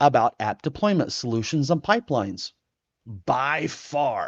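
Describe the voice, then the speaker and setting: A man at a fairly slow pace, in a dry, close sound with no echo and a quiet background. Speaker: software tutorial instructor. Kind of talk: tutorial. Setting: live stream. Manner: animated.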